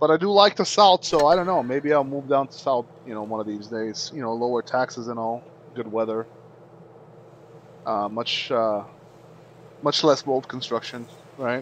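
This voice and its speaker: A man with a Bulgarian accent uses lively intonation and big swings in loudness, leaving long, frequent pauses. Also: medium pitch for a man, moderate pace. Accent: Eastern European (Bulgarian). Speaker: gaming streamer. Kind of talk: casual live-stream chat with gameplay. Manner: halting, many fillers.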